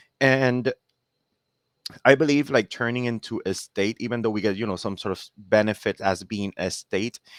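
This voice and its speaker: A man with a Spanish accent speaks at a moderate pace with a medium pitch, the sound dry and close with no echo on a very clean recording with a silent background. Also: ordinary pitch variation. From Puerto Rico. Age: 30s. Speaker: dividend investor and content creator. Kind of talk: podcast interview. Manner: well spoken.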